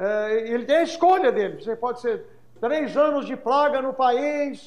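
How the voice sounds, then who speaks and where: A man talks at a fairly slow pace in an extremely high pitch. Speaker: English teacher and pastor. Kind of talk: podcast interview. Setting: live-streamed podcast.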